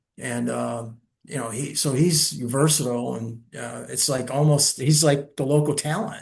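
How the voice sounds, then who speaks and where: The voice shows vocal fry alongside ordinary pitch variation. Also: man. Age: 70s. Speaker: retired lawyer investigator and playwright. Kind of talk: casual interview chat.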